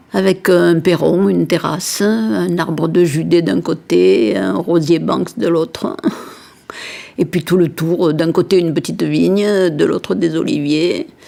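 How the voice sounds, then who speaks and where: A woman speaks at a very slow pace. Noticeable background noise can be heard behind her. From southern France, Montpellier. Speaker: interviewee recalling childhood. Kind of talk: personal reminiscence.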